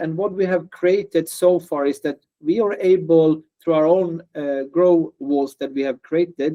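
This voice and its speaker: A man with a high voice, talking at an average speed. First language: non-native English speaker. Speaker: startup founder. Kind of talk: interview. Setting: video call. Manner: hesitant with fillers and repetitions.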